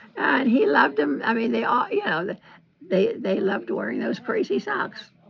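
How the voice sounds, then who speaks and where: Noticeable background noise sits under a woman's voice. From Central Florida, US. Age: 80s+. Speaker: retired knitter. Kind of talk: interview answer, reminiscing. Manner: hesitant, rambling.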